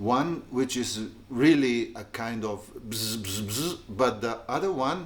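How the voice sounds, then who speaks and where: Intonation rises and falls in a lively way. The delivery is very slow. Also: man. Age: 60s. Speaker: guitarist. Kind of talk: casual tutorial. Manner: halting.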